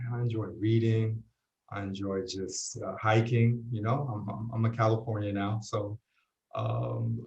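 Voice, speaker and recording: A somewhat breathy man with a New York accent speaks at a moderate pace in monotone, flat intonation. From New York City, Puerto Rican family. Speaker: university residence dean and associate chaplain. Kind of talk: interview. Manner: halting, many fillers.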